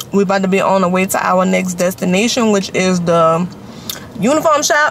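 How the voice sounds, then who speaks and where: A woman speaks at a fairly quick pace with ordinary pitch variation, the sound dry with no echo and the background carrying light noise. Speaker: vlogger. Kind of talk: casual vlog chat. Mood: annoyed then relaxed. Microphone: phone near.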